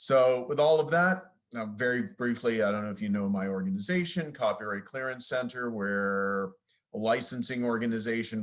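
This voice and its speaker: A man's medium-pitched voice with an American accent, ordinary pitch variation and hardly any pauses. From US, New York. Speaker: lawyer, licensing executive. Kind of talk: conference presentation. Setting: video call. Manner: fast.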